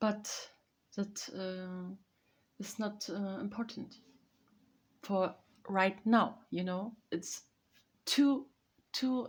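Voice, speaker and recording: Her voice sits at a medium pitch and is somewhat breathy. The woman speaks very slowly, with long, frequent pauses. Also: ordinary pitch variation. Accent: German. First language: German. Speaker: vlogger. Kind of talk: casual chat. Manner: halting.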